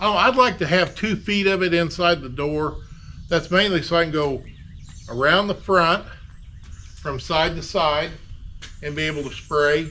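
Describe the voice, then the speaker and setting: With long, frequent pauses, a man talks at a moderate pace in a high pitch with ordinary pitch variation. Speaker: DIY auto body repair YouTuber. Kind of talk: casual workshop tutorial. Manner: loud, projecting to reach camera mic.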